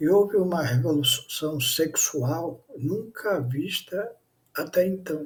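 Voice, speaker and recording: Delivery is very slow. The pitch moves with ordinary variation. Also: man, high pitch for a man. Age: 70s. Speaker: pastor. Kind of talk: sermon.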